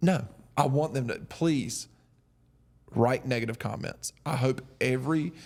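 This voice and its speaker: Long, frequent pauses break up this man's speech. He has a medium pitch and a strong Southern US accent. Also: ordinary pitch variation, fairly slow pace. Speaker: podcast host, military veteran. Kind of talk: casual chat. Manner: slow.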